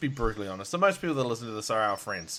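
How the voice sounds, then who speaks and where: Speaking very fast in an Australian accent, a man uses a bright, sharp tone with very wide pitch swings. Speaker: podcast host. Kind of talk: casual chat. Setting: Skype call.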